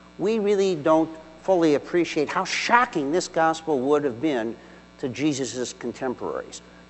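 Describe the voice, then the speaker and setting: Noticeable background noise surrounds a man's fairly high voice. His pitch swings very widely. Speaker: deacon. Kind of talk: homily. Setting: church. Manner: formal; measured, earnest.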